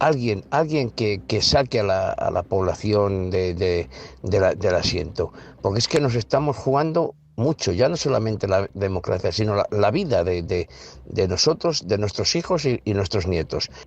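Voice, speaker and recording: At a moderate pace, the voice makes very wide pitch swings while keeping very even loudness. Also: man, fairly low pitch for a man. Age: 70s. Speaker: listener sending voice message. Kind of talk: listener voice message. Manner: halting, repeating words.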